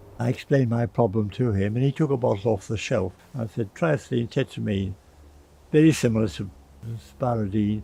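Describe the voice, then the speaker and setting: A man speaks at a fairly quick pace with long, frequent pauses, a somewhat breathy quality and ordinary pitch variation. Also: medium pitch for a man. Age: 80s+. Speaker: physician and drug researcher. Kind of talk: interview answer.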